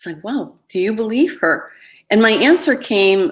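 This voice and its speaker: Speaking at a moderate pace, a woman's voice carries vocal fry. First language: Spanish. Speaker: life coach and writer. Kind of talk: live webinar talk. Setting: live webinar.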